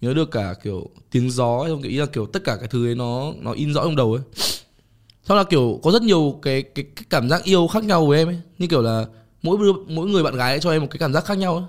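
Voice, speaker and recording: A man talks at a very fast pace with a fairly high pitch and lively intonation. The recording is very clean, with a silent background. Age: 20s. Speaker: fashion designer and photographer. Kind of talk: casual interview chat. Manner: halting, many fillers.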